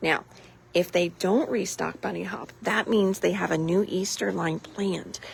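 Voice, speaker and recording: In a put-on character voice, someone whispers raspily at a moderate pace. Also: woman. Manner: whispering.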